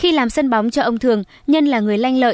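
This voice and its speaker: In a plain, everyday voice, a woman speaks at a fairly high pitch with ordinary pitch variation, with a dry, close sound with no echo on a very clean recording with a silent background. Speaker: news reader. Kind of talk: news reading. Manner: formal.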